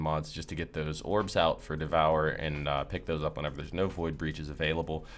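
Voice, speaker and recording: A man with a very deep, low pitch and vocal fry talks at a fairly quick pace with ordinary pitch variation. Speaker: gaming content creator. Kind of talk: gameplay build tutorial. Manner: fast; casual, filler-heavy.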